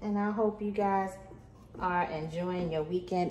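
A woman's fairly low voice at a moderate pace, with ordinary pitch variation, audible room echo and light background noise. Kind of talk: tutorial. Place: kitchen. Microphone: phone near.

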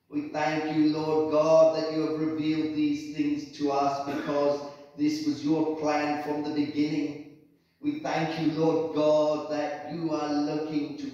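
Through strong room echo, a man speaks at a fairly slow pace with flat, monotone intonation. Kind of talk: spoken prayer. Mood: calm, reverent. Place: church. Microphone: camera far.

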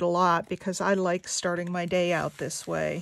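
A woman at a medium pitch with monotone, flat intonation, a moderate pace and a dry sound with no echo. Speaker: craft artist and video maker. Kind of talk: craft tutorial chat while working. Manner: casual, hesitant; quiet when concentrating. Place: home room.

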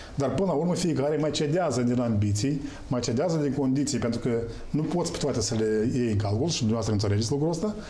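Speaking very fast with lively intonation and very even loudness, a man is heard over light background noise, with audible room echo. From Moldova. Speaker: political analyst. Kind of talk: political talk show debate. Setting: TV studio. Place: studio.

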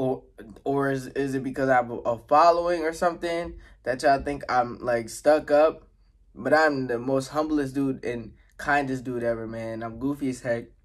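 There is a quiet background as a man speaks with fairly even intonation. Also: moderate pace. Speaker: mukbang vlogger. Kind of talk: casual vlog chat. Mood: relaxed, goofy, warm. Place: home room. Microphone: phone near.

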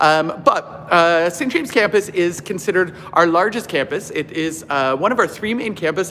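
There is light background noise as a man speaks with lively intonation. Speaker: campus tour guide. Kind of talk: casual live-stream tour commentary. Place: gym. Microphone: phone near.

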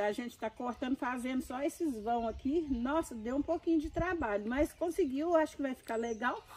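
This woman's voice sits high in pitch. She speaks with hardly any pauses. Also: ordinary pitch variation, moderate pace. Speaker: grandmother and gardener. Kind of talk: casual chat.

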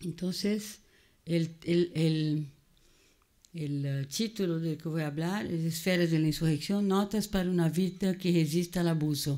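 Over a quiet background, a woman speaks at a fairly low pitch with a dark, mellow tone. She talks fairly slowly with fairly even intonation. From Brazil. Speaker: psychoanalyst and cultural critic; seminar lecturer. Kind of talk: lecture. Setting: museum auditorium with audience. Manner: code-switching between Portuguese and Spanish. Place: classroom. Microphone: podium.

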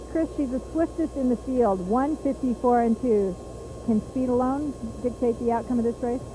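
A woman's high voice with ordinary pitch variation at a moderate pace, dry with no echo, over noticeable background noise. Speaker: racetrack interviewer. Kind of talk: trackside sports interview. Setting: at a fairground racetrack. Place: stadium. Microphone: handheld.

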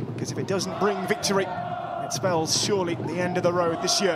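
A man speaks with crowd noise in the background. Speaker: football commentator. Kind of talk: live match commentary. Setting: match broadcast. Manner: clipped, urgent calls.

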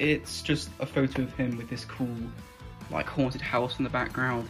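Clear music can be heard in the background. The talking moves at a moderate pace. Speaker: hobbyist reviewer. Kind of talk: casual unboxing commentary. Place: home room. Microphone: phone near.

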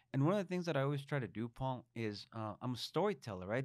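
Lively intonation over a quiet background, with a dry sound and no echo. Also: man. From Mexico. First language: Spanish. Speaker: state legislator; guest. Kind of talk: interview; interview answer. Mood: reflective, heartfelt. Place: studio. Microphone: studio mic.

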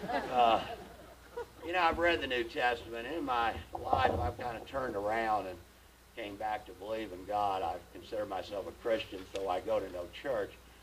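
Lively intonation marks this man's speech at a moderate pace. Background noise is noticeable. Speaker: stand-up comedian. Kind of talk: live stand-up comedy. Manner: storytelling, well-timed delivery. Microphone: handheld.

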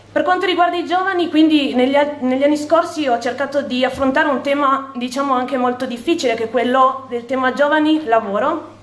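A woman with a high voice speaks at a fairly quick pace amid audible room echo. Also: ordinary pitch variation, hardly any pauses. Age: 20s. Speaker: town councillor. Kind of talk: campaign speech. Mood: grateful, earnest. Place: hall. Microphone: podium.

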